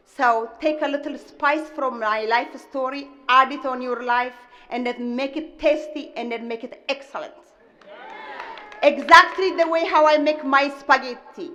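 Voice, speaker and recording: A woman with a strong Ethiopian accent and a high pitch projects a raised voice at a moderate pace, her intonation fairly even, with big swings in loudness and noticeable background noise. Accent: heavy Ethiopian. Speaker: restaurant owner. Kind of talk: commencement speech. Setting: stage with audience.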